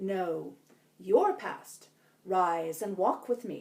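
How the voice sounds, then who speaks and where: The put-on character voice moves at a very slow pace. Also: woman. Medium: read story. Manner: calm, brief.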